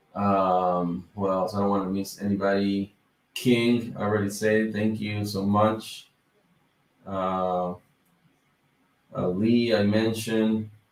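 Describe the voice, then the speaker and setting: A man with a Dominican accent speaks at a very slow pace in a fairly low, monotone, flat voice. He leaves long, frequent pauses. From Dominican Republic. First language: Spanish. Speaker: YouTuber on business credit. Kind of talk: livestream chat. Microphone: mic problems.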